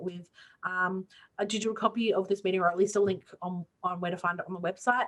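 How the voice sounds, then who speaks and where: A woman speaks in an Australian accent at a medium pitch. Her intonation is monotone and flat. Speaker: student union clubs coordinator. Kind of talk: online info session Q&A. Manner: fast.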